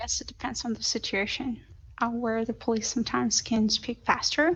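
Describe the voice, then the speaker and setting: A woman with a non-native accent, fairly high-pitched, at a moderate pace over a quiet background. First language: not English. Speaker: language student. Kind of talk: class conversation.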